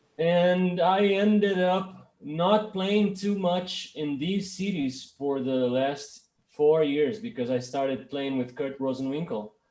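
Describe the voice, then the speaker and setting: Lively in intonation, a high-pitched man speaks at a very slow pace. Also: hardly any pauses. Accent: Portuguese. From Brazil, Minas Gerais (Belo Horizonte). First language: Portuguese. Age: 30s. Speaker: bass player and producer. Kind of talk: interview. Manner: halting, many restarts.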